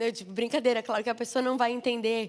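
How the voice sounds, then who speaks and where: A woman speaks in a southern Brazilian accent. Her tone is animated. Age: 30s. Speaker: missionary preacher. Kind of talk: sermon.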